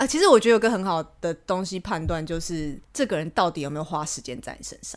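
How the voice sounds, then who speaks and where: Animated and with lively intonation, a woman with a fairly low pitch races at a very fast pace with hardly any pauses and big swings in loudness. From Taiwan. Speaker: podcast guest, international sales rep. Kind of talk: casual chat. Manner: animated, frequent laughter.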